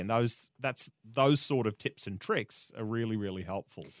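The speaker is a man with an Australian accent. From Australia, rural Queensland. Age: 30s. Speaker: media host and marketer. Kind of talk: interview conversation. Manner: hesitant, many fillers.

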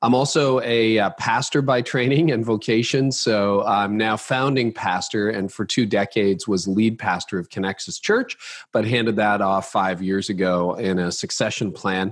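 In a very clean recording with a silent background, a man with a normal speaking voice and fairly low pitch talks at a moderate pace with ordinary pitch variation and hardly any pauses. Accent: Canadian. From Canada. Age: 50s. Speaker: pastor and leadership author. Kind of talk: interview.

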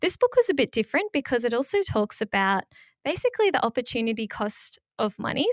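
Speaking fairly quickly, a woman uses an Australian accent and fairly high pitch. The recording is very clean and dry, close with no echo and a silent background. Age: 20s. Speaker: personal finance content creator. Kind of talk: interview.

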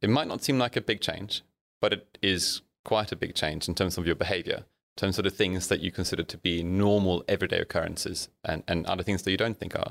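Recorded very cleanly with a silent background and a dry, close sound with no echo, a man has an unremarkable speaking voice, fairly low in pitch, with ordinary pitch variation. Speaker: company CEO. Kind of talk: casual interview chat.

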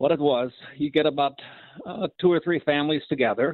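With an Upper Midwest accent, a man speaks at a fairly high pitch. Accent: Upper Midwest (Minnesota). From Minnesota, small Norwegian community. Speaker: caller. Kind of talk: call-in radio chat.

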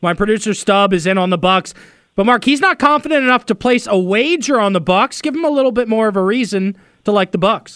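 A high-pitched man at a very fast pace, with lively intonation and very even loudness, dry and close with no echo, on a very clean recording with a silent background. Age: 30s. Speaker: sports radio host. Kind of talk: sports talk radio.

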